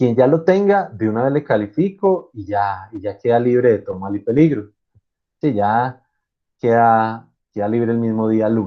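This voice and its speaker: In a plain, everyday voice, a man talks at a fairly slow pace with a medium pitch and lively intonation. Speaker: university lecturer. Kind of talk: online lecture.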